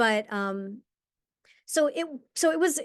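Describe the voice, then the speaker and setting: Over a quiet background, a woman with an American accent speaks with lively intonation. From New York, US. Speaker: actor. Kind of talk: interview. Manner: halting.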